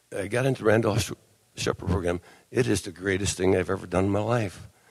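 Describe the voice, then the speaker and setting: Using a normal speaking voice, a man with an American accent speaks at a fairly low pitch and a moderate pace with fairly even intonation. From Wisconsin. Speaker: blind vendor association officer. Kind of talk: convention speech.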